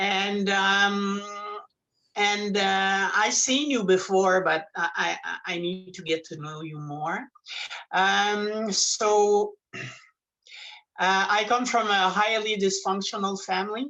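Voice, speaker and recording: A woman with a French Canadian accent speaks very slowly at medium pitch, with ordinary pitch variation. Her tone is bright and sharp, and her loudness swings widely. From Quebec, Montreal. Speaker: support group member. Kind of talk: personal sharing in group. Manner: halting.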